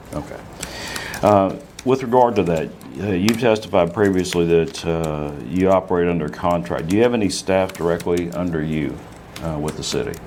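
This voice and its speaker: Over noticeable background noise and audible room echo, a man speaks with a very deep, low pitch and ordinary pitch variation. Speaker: attorney. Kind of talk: legal deposition questioning. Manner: fast; formal.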